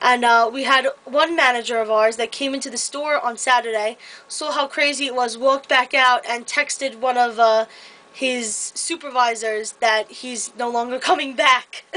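At a moderate pace, a woman speaks in a high pitch with a bright, sharp tone and fairly even intonation. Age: 20s. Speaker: vlogger and retail store employee. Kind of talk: casual vlog monologue. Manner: hesitant, many filler words. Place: home room. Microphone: webcam.

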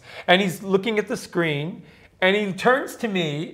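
The man's pitch is high and his tone animated. He speaks at a fairly slow pace. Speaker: podcast co-host. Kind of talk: casual chat. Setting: hotel suite in Dubai. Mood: excited, playful. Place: home room.

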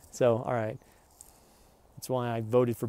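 A man speaks with an American accent in a dark, mellow tone. The sound is dry, with no echo. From Oklahoma. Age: 40s. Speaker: vlogger. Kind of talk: rant. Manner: animated. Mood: agitated, aggrieved. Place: street. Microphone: earbuds.

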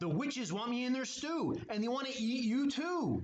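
At a moderate pace, a man puts on a character voice pitched extremely high. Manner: screeching.

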